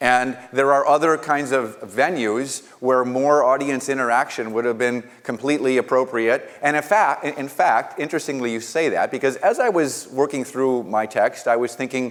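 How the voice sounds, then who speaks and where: A man speaks at a medium pitch and a moderate pace with hardly any pauses. His pitch varies in an ordinary way. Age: middle-aged. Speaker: college president. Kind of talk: conversational response at a forum. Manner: formal.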